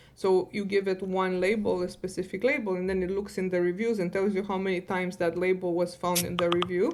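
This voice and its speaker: A woman with a non-native accent speaks at a medium pitch and fairly quick pace, in monotone, flat intonation with hardly any pauses, over noticeable background noise. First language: not English. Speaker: data science director and podcast guest. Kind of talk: podcast interview.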